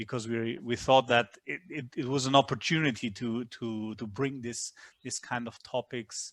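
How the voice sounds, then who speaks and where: With a non-native accent, a man speaks at a moderate pace and medium pitch, his intonation fairly even, in a dry, close sound with no echo. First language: not English. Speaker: history professor. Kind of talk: webinar talk. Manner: halting, many repetitions.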